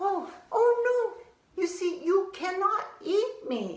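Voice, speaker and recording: A female-sounding, put-on character voice, squeaky and extremely high in pitch, moves at a very slow pace. A slight echo can be heard. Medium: read story. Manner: hesitant, stammering.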